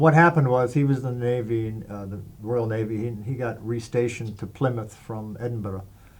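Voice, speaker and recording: There's audible room echo around this man's voice. He talks at a moderate pace with fairly even intonation. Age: 60s. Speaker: interviewee sharing life story. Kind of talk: interview testimony. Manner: hesitant, many fillers.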